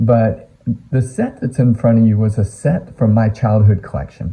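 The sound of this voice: A man talks at a moderate pace with a fairly low pitch and ordinary pitch variation. His tone is dark and mellow, raspy, with a slightly husky edge.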